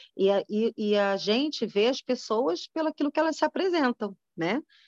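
Against a quiet background, a woman with a fairly high pitch speaks at a moderate pace with very wide pitch swings, the sound dry and close with no echo. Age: 40s. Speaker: women's ministry speaker. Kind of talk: sermon. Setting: video call.

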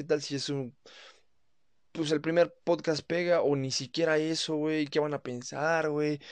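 Against a quiet background, a man with a Mexican accent talks at a fairly slow pace in a fairly high pitch, his intonation fairly even. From Mexico. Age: 20s. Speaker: podcaster. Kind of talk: casual monologue. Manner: casual, colloquial.

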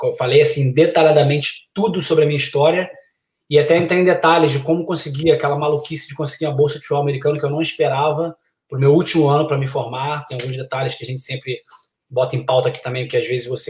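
Very fast speech comes from a man with a fairly high pitch. His voice is somewhat breathy, with fairly even intonation. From Brazil, Niterói (Rio de Janeiro). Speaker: college soccer coach. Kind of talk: casual chat.

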